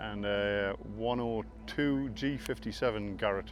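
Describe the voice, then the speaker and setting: A man speaks with a northeast English accent. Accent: northeast English, a bit Scottish-like. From northeast England. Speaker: land speed racing team owner. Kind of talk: casual interview.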